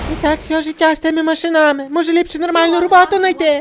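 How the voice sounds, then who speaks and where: A put-on character voice with extremely high pitch races along at a very fast pace in a monotone, flat delivery, with clear background noise. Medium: fan dub. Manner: scolding, sarcastic.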